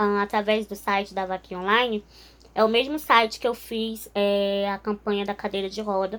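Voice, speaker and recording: Here a woman speaks at a moderate pace with a fairly high pitch. Her intonation stays fairly even on a very clean recording with a silent background. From northern Brazil, Altamira (Pará). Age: 20s. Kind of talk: testimony. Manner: informal, with frequent filler hesitations.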